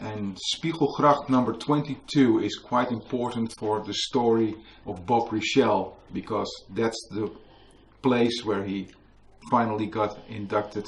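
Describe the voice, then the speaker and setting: Somewhat breathy and fairly low, a man's voice moves at a fairly slow pace in a Dutch accent. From Netherlands. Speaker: author and museum worker. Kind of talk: book launch talk. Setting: museum with live audience.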